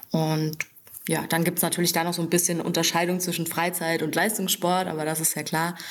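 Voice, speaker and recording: Noticeable background noise sits behind a woman speaking at a fairly quick pace. Her intonation stays monotone and flat. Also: fairly low pitch for a woman. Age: 20s. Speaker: fitness trainer. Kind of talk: podcast interview. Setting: in her fitness studio.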